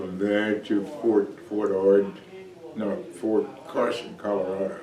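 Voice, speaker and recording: A man with a fairly low pitch speaks at a very slow pace, with audible room echo and noticeable background noise. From Texas. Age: 80s+. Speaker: army veteran and church deacon. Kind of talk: interview. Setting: church. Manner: halting.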